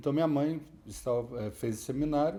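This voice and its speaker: A man talks fairly quickly in a plain, everyday voice, fairly high in pitch with ordinary pitch variation. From Brazil, São Paulo state (Lorena, Ubatuba). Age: 60s. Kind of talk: testimony. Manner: conversational, with self-corrections.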